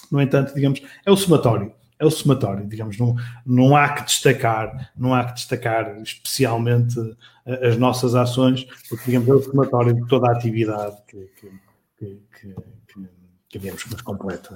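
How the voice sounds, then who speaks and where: Here a man speaks at medium pitch and a moderate pace, somewhat breathy, with ordinary pitch variation. His loudness swings widely. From Portugal, Matosinhos. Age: 40s. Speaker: marketing director. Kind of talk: interview. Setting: live stream. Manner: halting, many repetitions and fillers.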